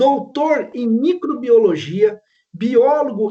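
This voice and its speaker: Speaking at a very slow pace, a man swings his pitch very widely in a dark, mellow tone. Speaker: professor and panel moderator. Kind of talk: panel moderation.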